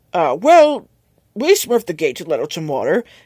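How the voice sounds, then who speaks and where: A raspy, put-on character voice moves at a moderate pace. Its loudness swings widely. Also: man, extremely high pitch for a man. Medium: read story.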